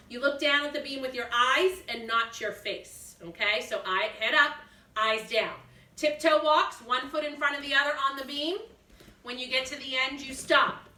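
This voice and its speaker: In a raised, projected voice with a slight Massachusetts accent, a woman speaks at a high pitch with ordinary pitch variation, big swings in loudness and audible room echo. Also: moderate pace. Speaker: gymnastics teacher. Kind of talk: instructional demonstration for kids. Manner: clear step-by-step coaching cues.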